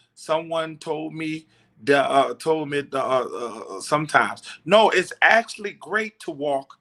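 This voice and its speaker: With an American accent, a man speaks at a fairly slow pace in a fairly high, bright, sharp voice with lively intonation. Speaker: truck driver and livestream host. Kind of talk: casual livestream talk. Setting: hotel room. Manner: subdued, not loud today; halting with many fillers.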